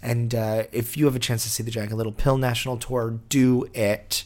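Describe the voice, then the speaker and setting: At a fairly quick pace, a man talks with medium pitch and monotone, flat intonation. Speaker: podcast host. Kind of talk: monologue intro.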